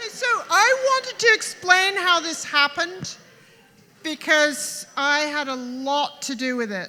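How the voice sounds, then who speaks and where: Over noticeable background noise, a woman projects a raised, high voice at a fairly slow pace, with very wide pitch swings and big swings in loudness. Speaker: birthday speaker, partner of the host. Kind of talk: party speech. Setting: stage with audience.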